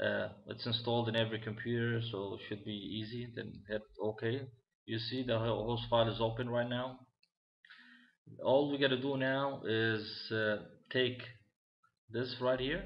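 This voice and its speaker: There is audible room echo as a man speaks at a medium pitch. His intonation is monotone and flat, broken by long, frequent pauses. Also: moderate pace. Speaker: tech tutorial maker. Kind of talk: tutorial. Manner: halting, many fillers.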